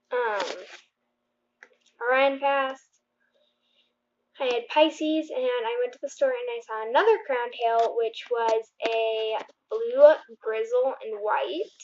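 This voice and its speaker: A woman with a high-pitched voice speaks at a very slow pace, leaving long, frequent pauses, and her loudness swings widely. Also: ordinary pitch variation. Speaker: aquarium fish keeper. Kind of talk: casual talk to camera. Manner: stuttering.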